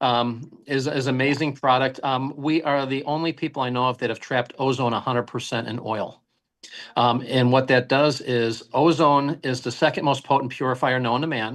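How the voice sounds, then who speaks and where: A man talks at a moderate pace in a normal speaking voice. His pitch is medium, and the background is quiet. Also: fairly even intonation. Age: 60s. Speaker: health product company founder. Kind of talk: interview podcast.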